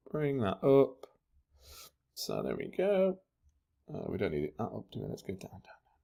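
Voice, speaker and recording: The speaker keeps a moderate pace but leaves long, frequent pauses. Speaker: tutorial maker. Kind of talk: tutorial. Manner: casual, thinking aloud with fillers.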